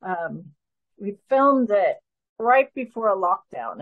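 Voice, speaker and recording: A woman in a New Jersey accent speaks with ordinary pitch variation over a quiet background. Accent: American, New Jersey. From US Northeast (New Jersey). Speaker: filmmaker; guest. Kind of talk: interview. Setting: video call. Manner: animated. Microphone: video call.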